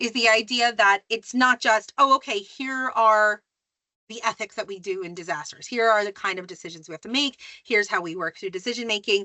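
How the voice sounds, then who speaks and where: A plain, everyday voice from a woman with an American accent, fairly high in pitch with ordinary variation, at a fairly quick pace. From US, New Jersey. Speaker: academic, disaster ethics lecturer. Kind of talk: podcast interview. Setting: podcast. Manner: many fillers (um, like).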